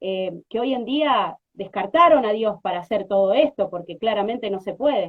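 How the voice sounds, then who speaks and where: Hardly pausing, a woman talks at a moderate pace and medium pitch with lively intonation. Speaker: radio host. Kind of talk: radio interview. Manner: halting.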